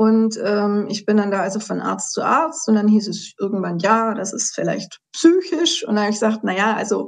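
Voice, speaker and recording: Somewhat breathy, a woman's fairly high voice moves at a moderate pace. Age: 50s. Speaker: patient sharing her health story. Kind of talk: interview testimony.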